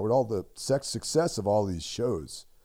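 Over a very clean recording with a silent background, a man speaks in a dark, mellow tone with vocal fry. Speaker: horror podcast co-host. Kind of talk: casual chat. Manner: low energy.

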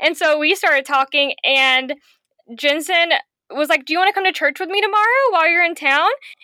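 An extremely high, bright and sharp woman's voice, raised and projected, animated and fairly quick, with very even loudness and a dry, close sound with no echo. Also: ordinary pitch variation. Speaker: podcast guest. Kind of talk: casual chat.

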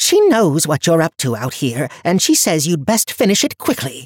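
In a put-on character voice, a man speaks at a moderate pace, fairly high in pitch with a slightly husky edge and very wide pitch swings. The sound is dry and close, with no echo.

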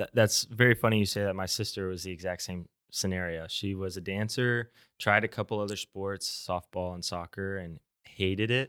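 A normal speaking voice with an American accent comes at a moderate pace with fairly even intonation on a very clean recording with a silent background. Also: man, fairly low pitch for a man. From Tulsa, Oklahoma. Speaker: student podcast host. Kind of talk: trivia quiz; casual interview.

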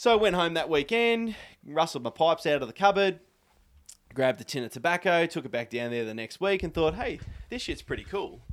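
With an Australian accent, a man speaks in a high pitch with very wide pitch swings. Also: fairly quick pace, very clean recording, silent background. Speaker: tobacco pipe maker. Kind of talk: casual chat. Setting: at his home.

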